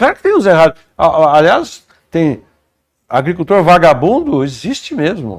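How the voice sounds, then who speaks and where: At a moderate pace, a man with a high pitch and very wide pitch swings is captured in a dry, close sound with no echo. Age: 70s. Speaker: agronomist and former politician. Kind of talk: interview.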